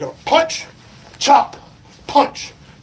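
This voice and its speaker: Noticeable background noise fills the clip. The voice is a man's. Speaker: football coach. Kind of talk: tutorial. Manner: projecting coaching voice; animated.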